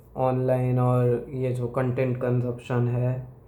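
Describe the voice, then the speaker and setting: A man's dark, mellow voice with a Gujarati accent, set in audible room echo. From Gujarat, India. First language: Gujarati (speaking Hindi). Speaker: YouTuber. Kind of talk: opinion monologue. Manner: hesitant, with fillers.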